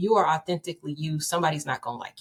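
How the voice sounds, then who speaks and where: The voice races along at a very fast pace and sounds somewhat breathy. The sound is dry and close, with no echo. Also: woman. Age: 30s. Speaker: author and speaker. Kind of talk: podcast interview. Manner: confident.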